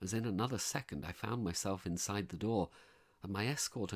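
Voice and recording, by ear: Ordinary pitch variation while reading aloud in a natural voice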